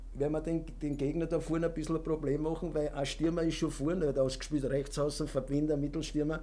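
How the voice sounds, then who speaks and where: A man with a Viennese accent speaks at a fairly quick pace and fairly high pitch, his tone dark and mellow, his loudness very even, with audible room echo. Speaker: retired footballer and former coach. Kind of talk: interview. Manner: halting.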